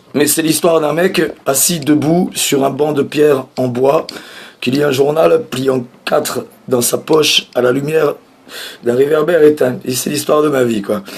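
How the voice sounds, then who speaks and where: Noticeable background noise sits behind a man who speaks fairly slowly in a fairly high pitch with ordinary pitch variation. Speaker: comedian. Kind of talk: stand-up.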